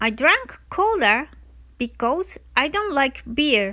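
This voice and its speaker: A woman in a raised, projected voice with a Japanese accent, high-pitched, bright and sharp in tone, with very wide pitch swings at a very slow pace. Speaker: travel vlogger. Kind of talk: scripted-style travel narration.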